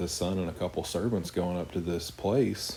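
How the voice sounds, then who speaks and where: Quiet and strained, a man with an American accent talks at a fairly quick pace in a very deep, low pitch, his dark, mellow tone carrying fairly even intonation through audible room echo. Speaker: Bible teacher. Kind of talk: Bible study teaching. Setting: home, living room at night. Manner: somewhat monotone; quiet, restrained volume.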